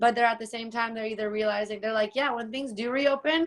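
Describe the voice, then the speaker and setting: Here is a normal speaking voice, its pitch varying in an ordinary way. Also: woman. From rural Canada. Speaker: personal trainer. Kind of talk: casual chat.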